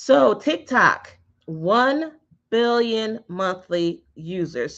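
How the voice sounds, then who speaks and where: A woman speaks with very wide pitch swings. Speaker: digital marketing instructor. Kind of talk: online class. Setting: live stream.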